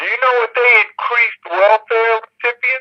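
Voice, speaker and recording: At a fairly slow pace, a raised, projected voice with a bright, sharp tone comes through dry and close, with no echo. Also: man. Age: 60s. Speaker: guest. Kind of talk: casual political talk.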